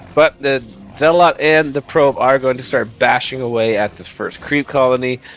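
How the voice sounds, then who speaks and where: Over music in the background, a man talks at a moderate pace with a medium pitch, ordinary pitch variation and big swings in loudness. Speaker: game commentator. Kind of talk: live commentary. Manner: animated.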